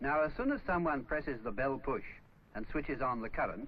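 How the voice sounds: Audible room echo surrounds a man speaking at a medium pitch with lively intonation. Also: moderate pace.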